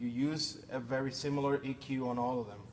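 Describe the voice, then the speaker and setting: Over audible room echo, a man with a Spanish accent and a fairly high pitch talks at a moderate pace. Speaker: sound engineering instructor. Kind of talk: technical workshop.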